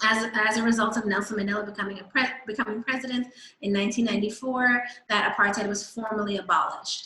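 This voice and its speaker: A woman speaks with a New York accent. She moves at a fairly quick pace. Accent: American (New York). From New York, US. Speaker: guest speaker on South Africa. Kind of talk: presentation talk.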